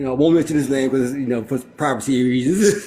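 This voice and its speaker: Very fast speech comes from a man with a dark, mellow tone. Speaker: real estate developer. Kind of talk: casual chat. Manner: loud.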